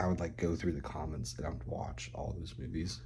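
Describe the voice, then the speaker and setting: Whispering with vocal fry, a man is heard amid audible room echo. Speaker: vlogger. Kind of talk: casual vlog monologue. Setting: at home, roommate nearby.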